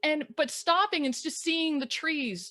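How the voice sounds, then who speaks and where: A loud, animated woman's voice, bright and sharp in tone, at a moderate pace. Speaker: life coach and photographer. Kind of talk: casual chat. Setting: live video stream. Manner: animated, loud.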